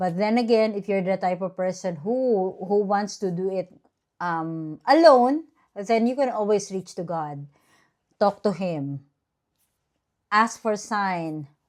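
Very slowly, a woman speaks at a medium pitch with lively intonation. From Philippines. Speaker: vlogger. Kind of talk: casual vlog monologue.

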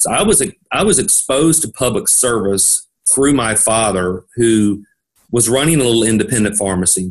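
Lively intonation marks this man's medium-pitched voice. He speaks at a moderate pace in a Tennessee accent. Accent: Southern US (Tennessee). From Middle Tennessee, US South. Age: 50s. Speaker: pharmacist and state senate candidate. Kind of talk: interview.

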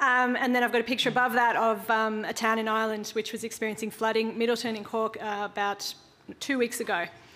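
A woman with an Australian accent, fairly high in pitch, bright and sharp in tone, monotone and flat, at a very fast pace. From Australia (Queensland). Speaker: social enterprise founder; conference speaker. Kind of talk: conference workshop talk. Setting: conference room with audience.

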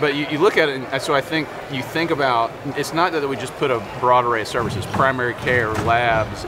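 Loud background noise sits behind a man's voice. He talks at a moderate pace with ordinary pitch variation. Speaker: guest. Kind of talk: interview answer.

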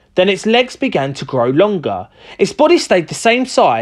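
The clip is plain reading aloud. Nothing else is listed for it.

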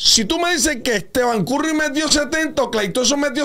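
A man with an extremely high voice speaks in a raised, projected, animated tone at a moderate pace, with ordinary pitch variation. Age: 50s. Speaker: basketball analyst. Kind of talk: sports talk show discussion. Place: studio. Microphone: studio mic.

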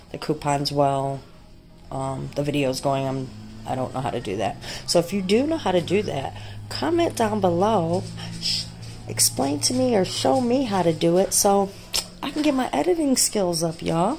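A woman talks at a moderate pace with long, frequent pauses. Light background noise is present. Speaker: couponing vlogger. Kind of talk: casual vlog chat. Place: home room. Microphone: phone near.

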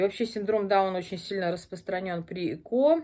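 A woman's dark, mellow voice at a fairly quick pace, with ordinary pitch variation. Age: 40s. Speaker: video blogger; pregnancy vlogger. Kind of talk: casual vlog monologue; casual vlog chat. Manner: halting, many filler words. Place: home room. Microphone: phone near.

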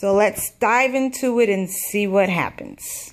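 The speaker talks at a fairly slow pace with ordinary pitch variation. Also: woman. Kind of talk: craft show-and-tell. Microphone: camera far.

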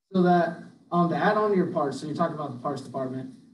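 Audible room echo plus light background noise. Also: man. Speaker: equipment dealer salesperson. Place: meeting room. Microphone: camera far.

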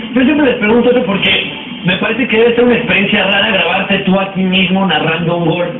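Speaking at a very fast pace, a man with a high pitch and ordinary pitch variation is heard with audible room echo and noticeable background noise. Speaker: TV show host. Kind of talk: TV interview host. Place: studio.

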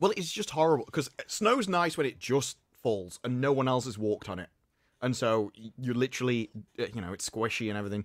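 Captured in a very clean recording with a silent background and a dry, close sound with no echo, a man with an ordinary speaking voice talks at a medium pitch with lively intonation. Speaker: podcast panelist. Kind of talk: casual chat.

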